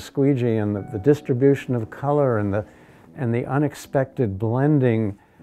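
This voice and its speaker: Faint music plays in the background as the speaker goes at a moderate pace with ordinary pitch variation. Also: man. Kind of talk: interview answer. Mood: calm, thoughtful. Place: workshop.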